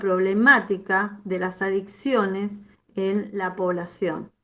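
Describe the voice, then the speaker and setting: Medium pitch from a woman, set against a quiet background. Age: 60s. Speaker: psychologist. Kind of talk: lecture. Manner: halting.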